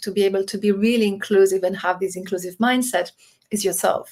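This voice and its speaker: With a non-native accent, a woman talks at a fairly quick pace with ordinary pitch variation. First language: not English. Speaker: diversity and executive coach. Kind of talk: interview.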